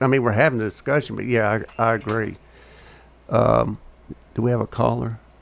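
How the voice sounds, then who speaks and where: Speaking in a Tennessee accent, a man talks at a fairly quick pace yet leaves long, frequent pauses. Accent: US Southern (Tennessee). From Murfreesboro, Tennessee. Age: 50s. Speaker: radio talk show host. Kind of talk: casual chat. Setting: studio.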